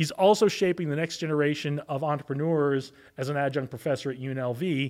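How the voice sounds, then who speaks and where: A man with a normal speaking voice talks at a fairly quick pace, his pitch fairly high for a man and its variation ordinary. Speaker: podcast host. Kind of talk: interview conversation.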